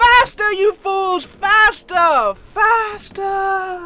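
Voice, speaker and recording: Shouting in a put-on character voice at an extremely high pitch, a woman speaks at a very slow pace. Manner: yelling, commanding.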